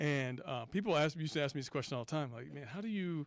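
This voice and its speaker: In a very clean recording with a silent background, a man with an American accent speaks with lively intonation. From US South, Mississippi. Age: 60s. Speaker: athletics director panelist. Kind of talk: panel discussion.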